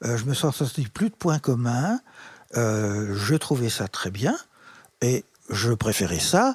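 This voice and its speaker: A man speaks at a very slow pace in a medium pitch, somewhat breathy, with lively intonation and long, frequent pauses. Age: 80s. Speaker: retired special educator. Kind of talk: interview. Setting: in his living room.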